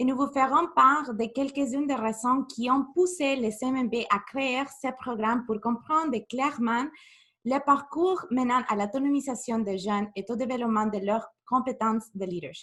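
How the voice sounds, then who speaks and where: At a fairly slow pace, a woman with a high pitch and a bright, sharp tone speaks with ordinary pitch variation and a strong Spanish accent. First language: Spanish (speaking French). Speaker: youth program manager. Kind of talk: webinar presentation. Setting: video call webinar.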